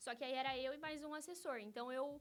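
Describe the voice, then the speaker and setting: A woman talks at moderate speed. Her tone comes across bright and sharp. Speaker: lawyer. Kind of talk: interview.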